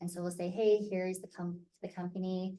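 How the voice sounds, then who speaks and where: A woman with an American accent speaks at a moderate pace in a dark, mellow tone of medium pitch. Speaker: theatre company director. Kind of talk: online parent information meeting.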